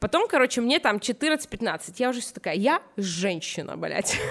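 A woman speaks at a fairly slow pace and a fairly high pitch, animated in tone with very wide pitch swings. Noticeable background noise can be heard. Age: 20s. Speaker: fashion stylist. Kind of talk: casual chat.

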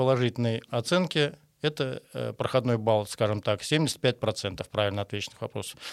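A man at medium pitch with ordinary pitch variation and a moderate pace, on a very clean recording with a silent background. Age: 60s. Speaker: construction qualification examiner. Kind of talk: interview. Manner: halting.

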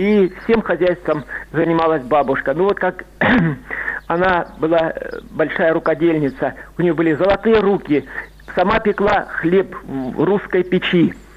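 Noticeable background noise, a fairly slow pace with long, frequent pauses, and very even loudness. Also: man, high pitch for a man, ordinary pitch variation. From Rostov region, southern Russia. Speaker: caller. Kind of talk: phone-in storytelling. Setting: phone call.

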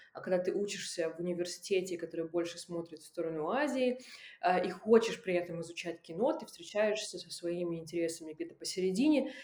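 Over noticeable background noise, a woman with a fairly low pitch talks at a fairly quick pace, her intonation lively and her loudness swinging widely. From Russian Far East. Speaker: film festival curator and documentary director. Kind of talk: casual interview.

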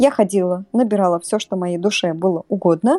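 A woman's dark, mellow voice comes through dry and close with no echo on a very clean recording with a silent background. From Russia, Samara. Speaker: podcast guest. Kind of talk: casual storytelling interview.

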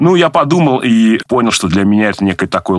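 A man speaks at a moderate pace. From Nizhny Novgorod, Russia. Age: 40s. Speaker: government IT adviser. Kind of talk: interview. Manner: hesitant with filler sounds.

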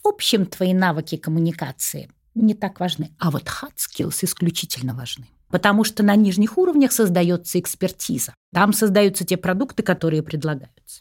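Somewhat breathy and lively in intonation, a woman speaks at a moderate pace on a very clean recording with a silent background. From Russia, St. Petersburg. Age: 60s. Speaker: executive recruiter and psychology professor. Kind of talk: podcast interview.

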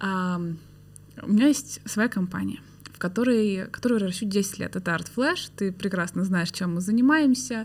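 A somewhat breathy woman at medium pitch, moderate pace and ordinary pitch variation. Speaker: podcast host. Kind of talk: casual interview conversation.

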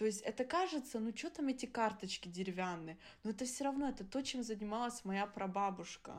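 A woman speaks fairly quickly in a fairly high voice. Her intonation is lively. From Germany. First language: Adyghe (speaking Russian). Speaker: podcast co-host. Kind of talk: casual chat.

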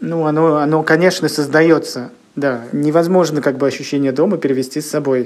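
At a fairly quick pace, a man with an unremarkable speaking voice speaks at a fairly high pitch with fairly even intonation. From Russia, Leningrad Oblast (Kirishi). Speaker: comics publisher. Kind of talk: interview.

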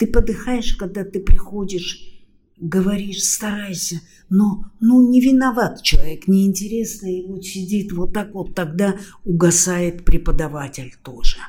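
At a fairly slow pace, a woman speaks in a somewhat breathy, dark, mellow tone, with ordinary pitch variation and big swings in loudness. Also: medium pitch for a woman. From Austria. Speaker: university lecturer and interpreter. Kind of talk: interview. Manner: animated.

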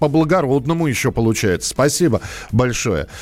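There is music in the background. A man speaks with ordinary pitch variation. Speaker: radio host. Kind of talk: live radio call-in show.

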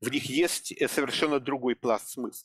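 There's vocal fry in this man's voice as he talks at a moderate pace. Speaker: literary scholar. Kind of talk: casual chat. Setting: video call. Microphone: poor sound quality.

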